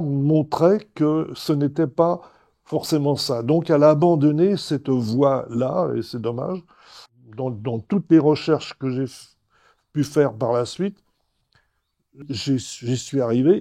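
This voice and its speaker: A man with a dark, mellow tone speaks at a very slow pace, leaving long, frequent pauses. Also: fairly high pitch for a man, ordinary pitch variation. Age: 80s+. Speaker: patient. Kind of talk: testimony. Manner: halting.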